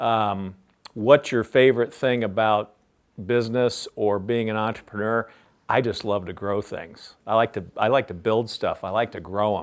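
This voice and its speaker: This man has an ordinary speaking voice with an American accent, a medium pitch and fairly even intonation. He keeps a moderate pace on a very clean recording with a silent background. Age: 60s. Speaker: business founder and CEO. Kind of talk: interview Q&A for a class.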